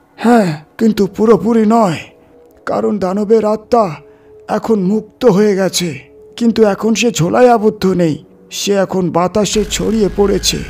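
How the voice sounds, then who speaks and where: Music plays behind a man doing a put-on character voice at a high pitch. He goes at a fairly slow pace with ordinary pitch variation. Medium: read story. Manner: grave, solemn.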